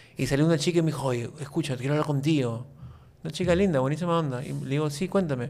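A man talks at a very fast pace, his intonation fairly even. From Peru, Lima; Peru. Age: 40s. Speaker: YouTube content creator. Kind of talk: casual interview chat. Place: studio. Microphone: studio mic.

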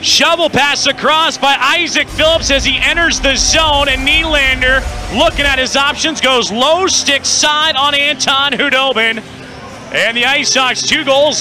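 Over music in the background, a raised, projected voice holds a very even loudness at a fairly slow pace. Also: man. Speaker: hockey play-by-play announcer. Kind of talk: live sports commentary. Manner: animated, rising in pitch on goals.

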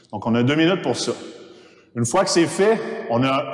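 A man's voice with audible room echo. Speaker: fitness coach. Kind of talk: tutorial. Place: gym.

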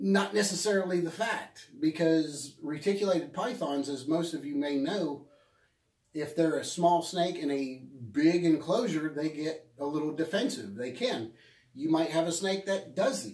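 Over a quiet background with audible room echo, a man speaks at a moderate pace. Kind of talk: casual vlog advice. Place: shop. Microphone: phone near.

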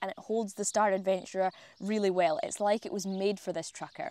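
A woman is speaking. The sound is dry with no echo. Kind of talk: tutorial. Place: garden. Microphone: lapel.

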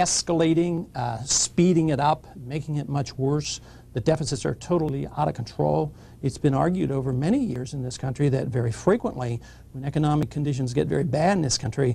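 Man's voice, somewhat breathy with a dark, mellow tone, at a fairly quick pace with ordinary pitch variation. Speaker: guest. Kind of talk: interview answer. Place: studio.

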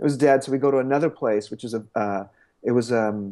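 Speaking very fast, a man keeps ordinary pitch variation. All is quiet behind him. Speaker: interviewee. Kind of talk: interview answer. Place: home room. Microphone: earbuds.

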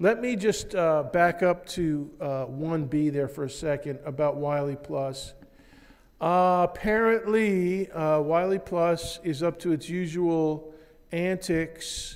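A man's high-pitched voice at a very slow pace with ordinary pitch variation and a quiet background. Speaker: physics instructor. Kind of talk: lecture. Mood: matter-of-fact, slightly wry. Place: classroom.

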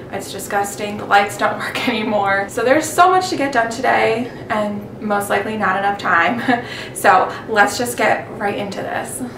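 A woman at a moderate pace with ordinary pitch variation, over noticeable background noise. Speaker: home cleaning vlogger. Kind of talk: casual vlog chat. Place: kitchen.

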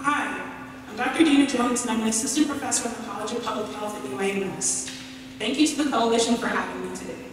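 Talking at a very fast pace, a woman is heard with strong room echo and noticeable background noise. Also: fairly high pitch for a woman, ordinary pitch variation. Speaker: public health professor and researcher. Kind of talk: prepared speech. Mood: earnest, encouraging. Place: hall.

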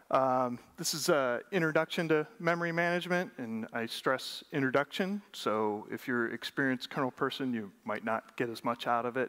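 At a moderate pace and with hardly any pauses, a man speaks against a quiet background. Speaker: conference presenter. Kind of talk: lecture. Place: stage.

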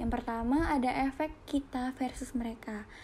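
A woman speaks with a high pitch and a dark, mellow tone. Her intonation is fairly even. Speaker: psychology student. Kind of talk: class presentation.

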